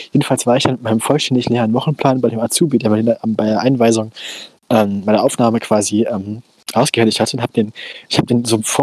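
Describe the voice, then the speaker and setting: The sound is dry and close, with no echo. The speech comes at a very fast pace. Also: man. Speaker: podcast co-host. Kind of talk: casual chat. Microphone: old headphones with a cheap headset mic.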